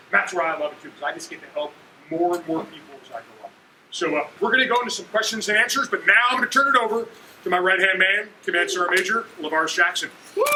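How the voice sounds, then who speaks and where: A man speaks in a raised, projected, high voice at a very fast pace, with very wide pitch swings and big swings in loudness. Noticeable background noise runs underneath. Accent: American. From New Jersey, Kearny. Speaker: army general. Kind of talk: motivational talk.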